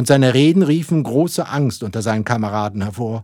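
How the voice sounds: The reading here sounds natural.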